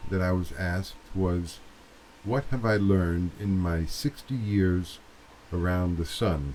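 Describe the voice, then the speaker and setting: A somewhat breathy man's voice, very deep and low in pitch. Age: 60s. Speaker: video blogger. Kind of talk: casual monologue to camera. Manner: hesitant, with fillers.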